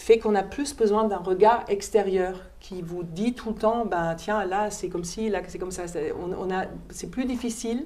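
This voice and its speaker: A woman with a German accent speaks at a medium pitch and fairly slow pace, her dark, mellow tone showing ordinary pitch variation and big swings in loudness, with audible room echo. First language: German (speaking French). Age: 50s. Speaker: opera singer and German teacher. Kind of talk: classroom Q&A.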